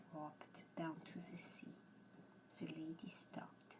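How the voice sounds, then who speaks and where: A woman whispers in a French accent. She is soft-spoken and goes at a very slow pace. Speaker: ASMR storyteller. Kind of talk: bedtime story reading. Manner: soft, whispered.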